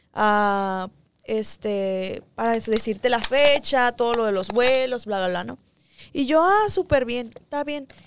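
Over noticeable background noise, a woman with a fairly high voice speaks at a very slow pace, the sound dry with no echo. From Ensenada, Mexico; Mexico. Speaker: singer; guest. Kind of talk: interview. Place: studio. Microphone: studio mic.

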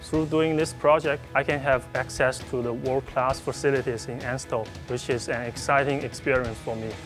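Music plays in the background as a man with a Chinese accent talks at a moderate pace, medium pitch and ordinary pitch variation. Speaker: nuclear engineering master's student. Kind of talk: interview answer.

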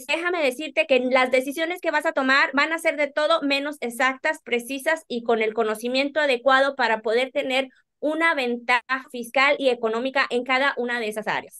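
Over faint music in the background, a woman projects a raised, high voice at a fairly quick pace with fairly even intonation. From Monterrey, Nuevo León, Mexico. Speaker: accountant and business owner; guest. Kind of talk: interview.

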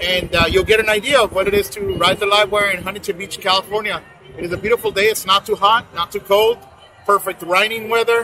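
Faint music plays in the background as a man speaks in a raised, projected voice. His pace is fairly quick and his intonation fairly even. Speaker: motorcycle vlogger. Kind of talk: casual vlog chat. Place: street.

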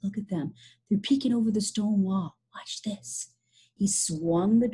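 Plain reading aloud, with ordinary pitch variation, is heard over a quiet background.

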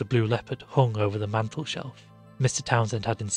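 This unforced reading voice carries fairly even intonation.

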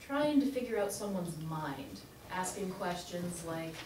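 The speech comes at a fairly slow pace, with noticeable background noise and audible room echo. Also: woman. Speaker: guest. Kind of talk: classroom guest talk. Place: classroom. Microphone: camera far.

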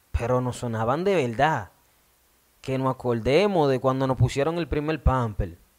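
Against a quiet background, a man with a Dominican accent speaks at a moderate pace and medium pitch, his tone animated and his intonation lively. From Dominican Republic. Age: 20s. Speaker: radio host. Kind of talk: video monologue. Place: studio. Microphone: studio mic.

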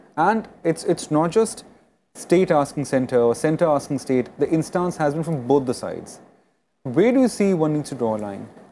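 A man with an Indian accent speaks in a dark, mellow tone at a fairly high pitch. Light background noise is present. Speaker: TV news anchor; news anchor. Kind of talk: panel discussion moderation. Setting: studio. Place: studio. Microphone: lapel.

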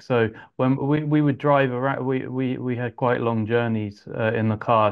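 The voice belongs to a man. He speaks with an English accent. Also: quiet background. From England (Yorkshire, then Suffolk); England. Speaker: composer and arranger; interviewee. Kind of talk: interview. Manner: halting, many fillers. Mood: relaxed, friendly. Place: home room. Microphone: earbuds.

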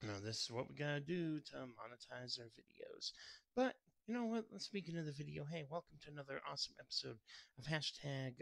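Against a quiet background, a man is heard in a dry sound with no echo. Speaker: food vlogger. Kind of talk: casual vlog chat.

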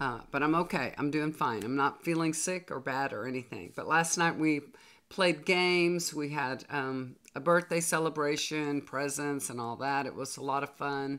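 A woman at low pitch with a fairly bright tone, moderate pace and ordinary pitch variation

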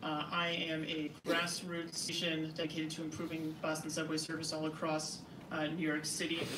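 A man with an American accent speaks in a fairly high, monotone, flat voice. Audible room echo and noticeable background noise surround him. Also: moderate pace. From New Jersey. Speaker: transit advocate. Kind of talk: public hearing testimony. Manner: halting, many fillers.

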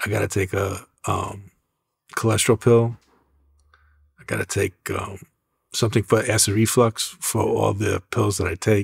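A man speaks in a fairly low, somewhat breathy voice with monotone, flat intonation and long, frequent pauses at a moderate pace. The recording is very clean, with a silent background. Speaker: music executive and artist manager. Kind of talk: interview. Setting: studio.

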